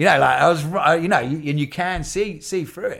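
In a southern English accent, a man speaks at a fairly quick pace. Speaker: singer-songwriter. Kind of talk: casual interview conversation.

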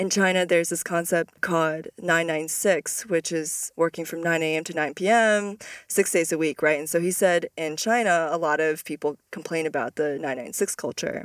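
A woman with an unremarkable speaking voice talks at a fairly low pitch and moderate pace, with ordinary pitch variation. There are hardly any pauses, and the sound is dry and close with no echo. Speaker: podcast host. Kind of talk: interview podcast conversation.

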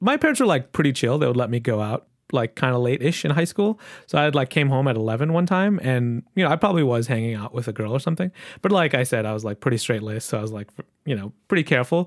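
A very fast, lively man's voice at a medium pitch with an American accent, on a very clean recording with a silent background. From Michigan. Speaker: podcast host. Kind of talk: casual chat.

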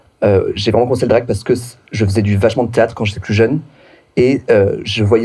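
A man speaks at medium pitch. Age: 30s. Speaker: drag performer. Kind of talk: casual chat.

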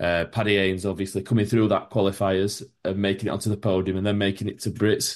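In a Yorkshire accent, a man speaks with a fairly low pitch and flat, monotone intonation. The background is quiet. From Yorkshire, England. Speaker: podcast host. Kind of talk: casual interview.

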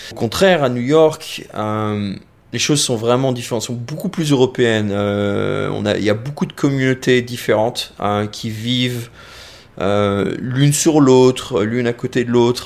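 A man speaks at medium pitch and a fairly slow pace with ordinary pitch variation. He has a plain, everyday voice. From France. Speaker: visual effects professional. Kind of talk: casual interview.

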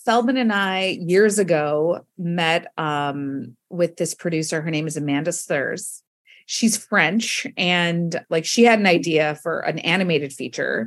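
In a normal speaking voice, a woman talks at a fairly slow pace. Her pitch is fairly low, with ordinary pitch variation. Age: 40s. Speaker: comedy writer and storyteller. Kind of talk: casual chat.

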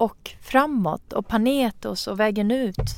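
Very slow speech from a woman, with ordinary pitch variation. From Iran. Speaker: podcast host. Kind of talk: casual interview.

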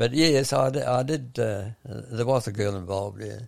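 Spoken with a New Zealand accent at a fairly quick pace, with ordinary pitch variation. The recording is very clean, with a silent background. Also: man. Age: 80s+. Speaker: retired running coach. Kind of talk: interview. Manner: halting.

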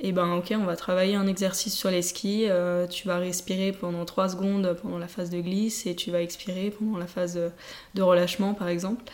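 At a fairly quick pace, a woman of medium pitch speaks with monotone, flat intonation. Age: 20s. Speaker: telemark ski athlete. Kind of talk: interview. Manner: halting.

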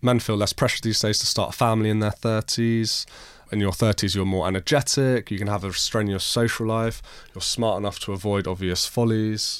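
An unremarkable speaking voice from a man, fairly low in pitch, at a fairly quick pace with fairly even intonation. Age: 30s. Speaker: podcast host. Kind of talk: casual chat. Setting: studio.

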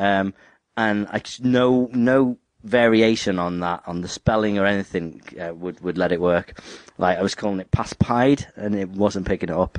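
With a dry, close sound, no echo and a quiet background, a man speaks in a normal speaking voice at a moderate pace, his fairly low pitch showing ordinary variation. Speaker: podcast host. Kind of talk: casual chat.

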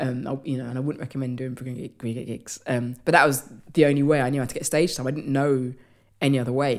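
A woman's very deep, low voice with a London accent, very fast and monotone. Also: big swings in loudness. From London, England. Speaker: comedian and writer. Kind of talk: casual interview chat.

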